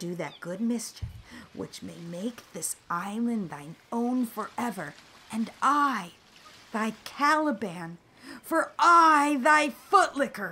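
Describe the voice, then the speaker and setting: A female-sounding, put-on character voice whispering at a very slow pace. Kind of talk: Shakespearean stage verse. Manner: whispering, urgent, fawning.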